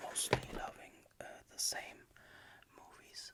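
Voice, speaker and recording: Through noticeable background noise, a woman with a German accent whispers at a very slow pace. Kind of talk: ASMR talk-to-sleep. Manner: soft-spoken, whispered; calm, hesitant.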